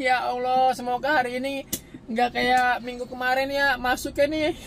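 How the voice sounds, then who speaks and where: A man with a Jakarta accent speaks in an extremely high pitch. His tone is animated and his pace moderate. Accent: Betawi. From Jakarta, Betawi. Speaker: online taxi driver vlogger. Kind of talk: casual vlog commentary while driving. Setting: in a car.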